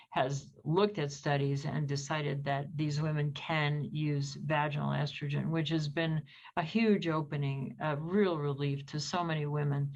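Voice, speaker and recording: Hardly any pauses break the moderate pace, and the intonation stays fairly even amid audible room echo. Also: woman, very deep, low pitch for a woman. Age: 70s. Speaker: gynecologist. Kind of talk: interview.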